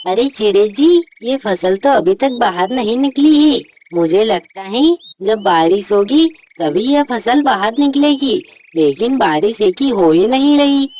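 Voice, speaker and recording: A cartoonish character voice that sounds female, pitched fairly high. The pace is fairly slow. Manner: earnest, polite.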